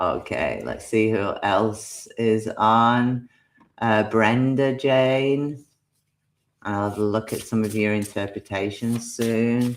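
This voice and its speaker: Someone speaks very slowly with a Yorkshire accent. The recording is very clean, with a silent background. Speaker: tarot card reader. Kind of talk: live-stream card reading. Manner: animated.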